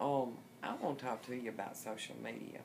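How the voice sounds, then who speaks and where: Over light background noise, a woman speaks with vocal fry. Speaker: vlogger. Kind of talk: casual vlog chat. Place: home room. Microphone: phone near.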